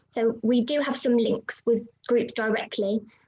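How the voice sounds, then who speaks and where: A somewhat breathy, fairly high-pitched woman's voice with fairly even intonation. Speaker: youth volunteering charity worker. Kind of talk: webinar presentation and Q&A. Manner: fast.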